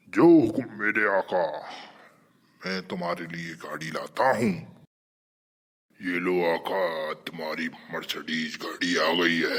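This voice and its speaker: A man's cartoonish character voice, raspy and very deep in pitch, at a moderate pace with long, frequent pauses. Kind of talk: cartoon comedy dialogue.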